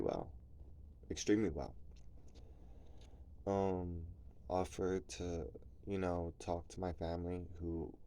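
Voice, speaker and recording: A man's very deep, low voice, dark and mellow in tone, soft-spoken, fairly even in intonation, at a fairly slow pace with long, frequent pauses. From New Jersey, US. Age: 30s. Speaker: vlogger. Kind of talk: personal vlog confession. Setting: at home at night, kids asleep nearby. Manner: soft-spoken, talking low; casual, filler-heavy.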